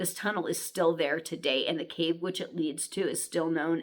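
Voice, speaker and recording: A woman with an American accent talks in an animated tone. Her pitch is fairly low, with vocal fry. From United States. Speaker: author and storyteller. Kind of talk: reading aloud with casual asides.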